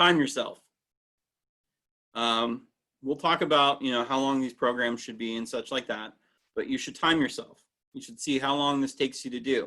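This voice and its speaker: The voice is loud, with a bright, sharp tone and ordinary pitch variation. It moves at a moderate pace with long, frequent pauses. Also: man, fairly high pitch for a man. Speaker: interpretive training instructor. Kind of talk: online training lecture.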